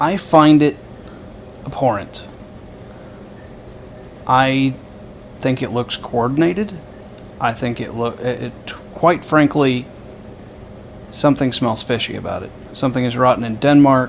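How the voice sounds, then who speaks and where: Amid noticeable background noise, a man of medium pitch speaks at a fairly slow pace with long, frequent pauses and ordinary pitch variation. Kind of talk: casual political commentary to camera. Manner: hesitant, stammering.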